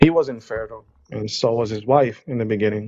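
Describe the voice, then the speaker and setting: Fairly even intonation in an Israeli accent. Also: man. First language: Hebrew. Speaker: caller on a live stream. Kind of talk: debate.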